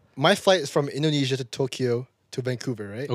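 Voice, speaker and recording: At a very fast pace, a man talks with a medium pitch and ordinary pitch variation. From Jakarta, Indonesia. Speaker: podcast guest. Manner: fast talker.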